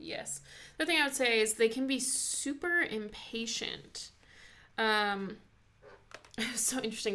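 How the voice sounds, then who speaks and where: A woman's bright, sharp voice at a fairly high pitch with ordinary pitch variation. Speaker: YouTuber discussing personality types. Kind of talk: casual chat. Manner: fast.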